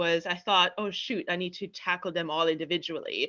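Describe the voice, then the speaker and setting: With a German accent, a woman speaks at medium pitch and a moderate pace in a bright, sharp tone against a quiet background. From East Germany. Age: 30s. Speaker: confidence coach and platform founder. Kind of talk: podcast interview. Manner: conversational with frequent fillers.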